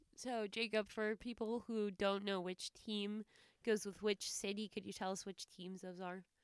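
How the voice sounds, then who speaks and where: Delivered at a moderate pace, the words come in a monotone, flat intonation. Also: woman, medium pitch for a woman. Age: 20s. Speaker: sports podcast co-host. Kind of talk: casual chat.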